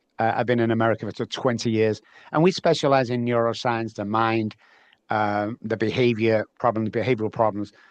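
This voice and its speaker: In an English accent, the speaker moves at a fairly quick pace with fairly even intonation, in a dry, close sound with no echo over a quiet background. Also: man, medium pitch for a man. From northern England, Manchester. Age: 60s. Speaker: neuroscience and behavior specialist. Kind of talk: interview. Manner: halting, many fillers.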